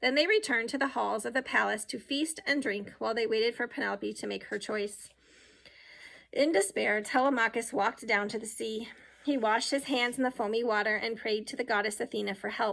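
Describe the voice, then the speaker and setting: In a put-on character voice, a woman talks raspy and fairly high-pitched at a fairly quick pace, with fairly even intonation. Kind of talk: children's audiobook reading. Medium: read story.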